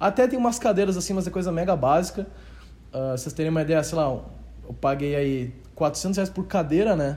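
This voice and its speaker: The voice is dark and mellow in tone, with lively intonation and a moderate pace. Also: man, fairly high pitch for a man. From southern Brazil, Rio Grande do Sul (Novo Hamburgo). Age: 20s. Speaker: YouTube affiliate marketing entrepreneur. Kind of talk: casual interview chat.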